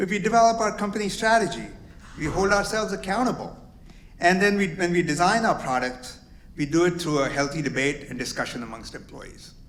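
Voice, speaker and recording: With lively intonation, a man talks at a fairly quick pace in a high pitch. Audible room echo and noticeable background noise are present. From immigrant to the US at 22. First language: not English. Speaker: company executive, lawyer. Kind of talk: welcome speech.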